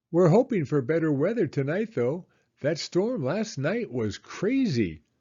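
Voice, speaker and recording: In a squeaky, put-on character voice, a man speaks with a high pitch at a moderate pace. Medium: read story.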